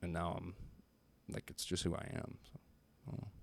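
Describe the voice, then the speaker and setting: Talking at a very fast pace with an American accent, a man uses vocal fry at a very deep, low pitch. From Pennsylvania. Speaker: comedian. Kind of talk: casual chat. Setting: studio. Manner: halting.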